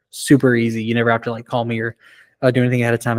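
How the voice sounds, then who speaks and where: The recording is very clean, with a silent background. Its sound is dry and close, with no echo. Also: man. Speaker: college career services advisor. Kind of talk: orientation presentation to students. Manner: fast; casual, conversational.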